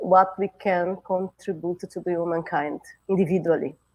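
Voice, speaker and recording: Against a quiet background, a woman with a dark, mellow tone speaks at medium pitch and a fairly slow pace. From southern Brazil, Porto Alegre. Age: old. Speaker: retired nuclear scientist and spiritist speaker. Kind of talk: spiritist talk.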